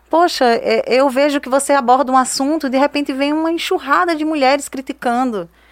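A woman speaks at a fairly quick pace. Her voice is high in pitch. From Brazilian Northeast, Juazeiro (Bahia). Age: 30s. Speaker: digital influencer and entrepreneur. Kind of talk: interview.

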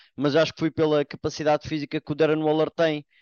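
Speaking with a European Portuguese accent, the man's pitch is fairly high. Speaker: NFL commentator. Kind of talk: casual sports panel discussion.

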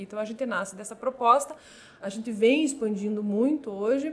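An unremarkable speaking voice from a woman, fairly high-pitched, with fairly even intonation and a moderate pace. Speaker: compliance and regulatory affairs manager at a fintech. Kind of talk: interview.

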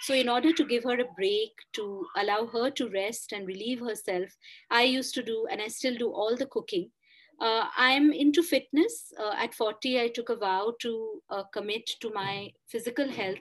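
Against a quiet background, a woman with a Bengali accent speaks at a moderate pace in a fairly high voice with ordinary pitch variation. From India, Kolkata. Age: 40s. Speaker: author and columnist. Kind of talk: interview.

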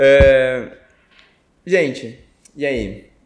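A man's voice at a medium pitch. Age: 20s. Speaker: podcast host. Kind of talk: casual chat.

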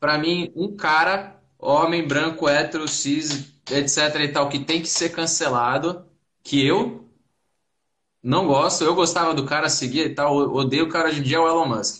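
Fairly even intonation and a fairly slow pace mark an unremarkable speaking voice. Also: man, fairly high pitch for a man. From Santos, São Paulo state, Brazil. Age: 20s. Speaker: debate participant. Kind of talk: online live debate.

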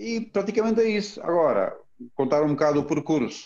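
Dark and mellow in tone, a man speaks. His intonation is lively. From Romania. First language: Romanian (speaking Portuguese). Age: 40s. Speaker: former canoeist and entrepreneur. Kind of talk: interview. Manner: halting.

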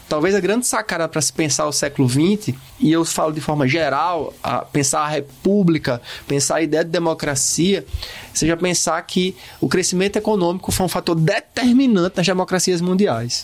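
A man speaks at a moderate pace with a high pitch and ordinary pitch variation. Noticeable background noise sits behind him. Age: 40s. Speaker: podcast co-host, humanities teacher. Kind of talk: casual educational discussion.

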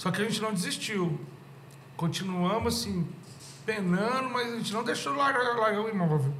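A high-pitched man at a moderate pace, lively intonation and long, frequent pauses, over noticeable background noise and audible room echo. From Goiânia, Brazil (moved young). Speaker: rock musician and venue owner. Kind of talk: casual chat.

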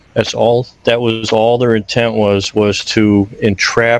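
A man at a very slow pace, monotone and flat in intonation, over noticeable background noise. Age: old. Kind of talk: casual chat. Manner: halting.

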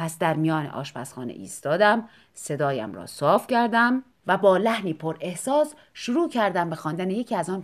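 The delivery is a natural reading voice. Its intonation is lively.

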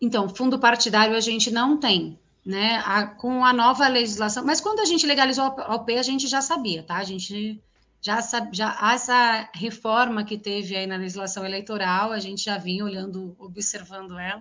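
At a moderate pace, a woman talks in an unremarkable speaking voice, fairly high in pitch and with ordinary pitch variation. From São Paulo city, east zone periphery. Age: 40s. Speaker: politician. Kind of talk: interview.

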